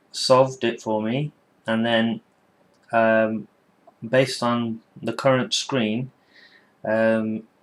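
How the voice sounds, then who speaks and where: In a British accent, a man speaks at a very slow pace with a medium pitch and a monotone, flat intonation. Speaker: tech reviewer. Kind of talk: casual product review to camera. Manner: hesitant, many filler words.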